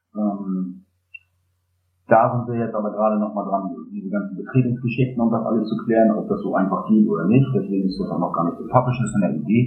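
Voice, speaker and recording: Very fast speech with ordinary pitch variation, music in the background and audible room echo. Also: man, fairly low pitch for a man. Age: 30s. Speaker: geocacher. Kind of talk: casual interview. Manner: hesitant, many filler sounds.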